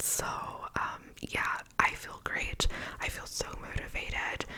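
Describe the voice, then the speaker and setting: A woman whispering in a relaxed tone at a very slow pace, over noticeable background noise. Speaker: ASMR content creator. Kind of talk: ASMR whispered Q&A talk to camera. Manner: whispered, soft, relaxed.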